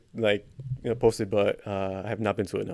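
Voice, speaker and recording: With a Spanish accent, a man speaks in a dark, mellow tone. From Mexico, raised in the US from age four. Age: 20s. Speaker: comedian and interviewer. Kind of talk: casual interview. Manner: hesitant, many fillers.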